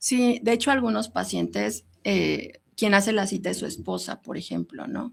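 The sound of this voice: At a moderate pace, a woman speaks with vocal fry. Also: medium pitch for a woman, ordinary pitch variation.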